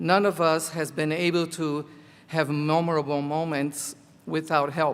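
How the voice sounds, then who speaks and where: A fairly high-pitched male voice in a Portuguese accent, at a fairly slow pace, on a very clean recording with a silent background. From Brazil (Rio de Janeiro). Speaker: college teacher, commencement speaker. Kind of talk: commencement speech.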